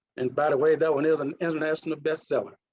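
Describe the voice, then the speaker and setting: A man speaks with a Mississippi accent. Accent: Mississippi accent, still noticeable. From US South, Mississippi (Duck Hill). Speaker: leadership coach and retired naval officer. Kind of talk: conference presentation. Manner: halting, with restarts.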